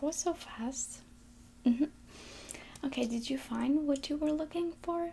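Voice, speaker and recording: Whispering at a fairly slow pace, a soft-spoken woman talks over light background noise. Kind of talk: ASMR nail salon receptionist roleplay. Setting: roleplay as a nail salon front desk. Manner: soft-spoken, whispery. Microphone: earbuds.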